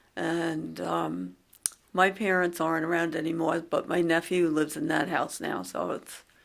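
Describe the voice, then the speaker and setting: With a Long Island accent, a woman talks at a moderate pace. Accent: Long Island New York. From Long Island, New York. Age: 60s. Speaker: interviewee sharing memories. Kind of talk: casual reminiscing conversation. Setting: library recording booth.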